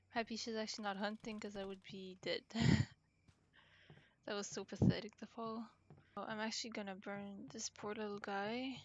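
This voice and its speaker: Soft-spoken and monotone, with flat intonation, the voice keeps a moderate pace broken by long, frequent pauses. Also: woman, fairly high pitch for a woman. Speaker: gamer. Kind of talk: casual gameplay commentary. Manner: quiet, soft-spoken.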